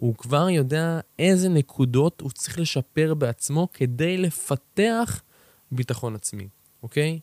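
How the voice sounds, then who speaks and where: The man's pitch varies in an ordinary way. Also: dry, close sound with no echo. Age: 20s. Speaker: podcast host and personal development mentor. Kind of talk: motivational solo talk. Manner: energetic.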